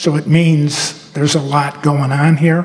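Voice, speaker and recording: The speaker has an American accent. Audible room echo fills the recording. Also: man. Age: 70s. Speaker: retired school superintendent. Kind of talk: rally speech. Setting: school auditorium rally with audience.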